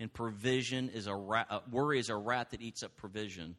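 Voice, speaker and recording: Against a quiet background, a man with a plain, everyday voice speaks at a moderate pace and medium pitch, his intonation fairly even. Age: 50s. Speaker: pastor. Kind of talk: sermon.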